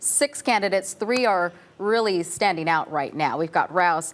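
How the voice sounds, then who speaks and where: A woman's plain, everyday voice at fairly low pitch, with lively intonation and a moderate pace. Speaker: TV news anchor. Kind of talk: live news conversation with guests.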